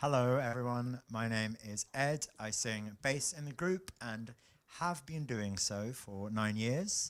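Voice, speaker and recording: A man talks at a medium pitch with ordinary pitch variation. His pace is very slow. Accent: London. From South London, England. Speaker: bass singer in a vocal group. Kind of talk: casual introductions in a rehearsal.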